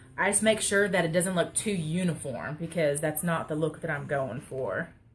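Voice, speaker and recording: A woman with an American accent, a fairly low, somewhat breathy voice, lively intonation and a moderate pace. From Texas. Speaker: crafter. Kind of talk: live stream craft tutorial. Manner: casual, chatty.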